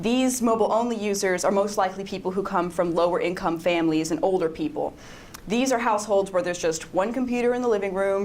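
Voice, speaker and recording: With noticeable background noise and audible room echo, a woman talks fairly quickly at a medium pitch with ordinary pitch variation. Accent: American. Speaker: web designer. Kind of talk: conference talk. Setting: stage with audience. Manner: fast.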